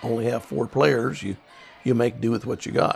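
With a Midwestern US accent, a man speaks at a moderate pace and medium pitch. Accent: rural Midwestern American. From Kansas. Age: 70s. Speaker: farmer. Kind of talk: interview storytelling. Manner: halting.

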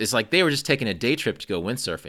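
With a bright, sharp tone and vocal fry, a man speaks at a very fast pace. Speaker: podcast host. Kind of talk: casual interview chat. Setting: remote call.

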